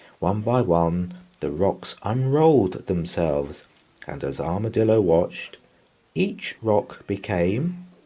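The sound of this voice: The unforced reading voice carries lively intonation throughout.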